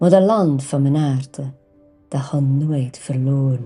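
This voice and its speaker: A woman with a West Flemish accent at a very slow pace, with music in the background. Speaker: language teacher. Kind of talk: poetry reading.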